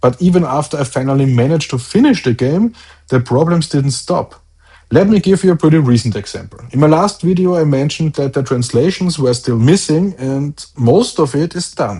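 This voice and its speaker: Against a quiet background, a man with a German accent and a fairly high pitch speaks fairly quickly, his dark, mellow tone somewhat breathy and his intonation lively. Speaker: solo indie game developer, video blogger. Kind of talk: video diary update.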